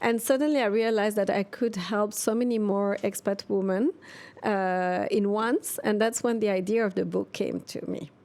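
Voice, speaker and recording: The recording is very clean, with a silent background. A woman with a French accent speaks at a fairly high pitch with ordinary pitch variation. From Switzerland. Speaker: expat coach and author. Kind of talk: interview. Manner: hesitant.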